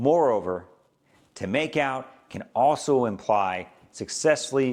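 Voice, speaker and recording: A man with an American accent speaks at a fairly slow pace, his medium-pitched voice carrying lively intonation. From Southern California. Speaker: English teacher. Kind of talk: educational lesson to camera.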